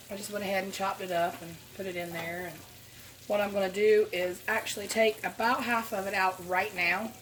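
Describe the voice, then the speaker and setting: A woman speaks in a Southern US accent with fairly even intonation and big swings in loudness. There is noticeable background noise. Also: medium pitch for a woman, fairly quick pace. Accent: Southern American. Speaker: home cook. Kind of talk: casual cook-with-me talk to camera.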